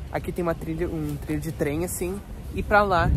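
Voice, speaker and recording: A man talks at a fairly quick pace. The sound is dry with no echo, and music plays in the background. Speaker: travel vlogger. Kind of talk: casual vlog chat. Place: street. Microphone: phone near.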